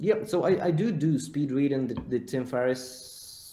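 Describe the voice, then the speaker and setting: A man's dark, mellow tone with a non-native accent. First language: not English. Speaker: content creator and agency owner. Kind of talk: podcast interview.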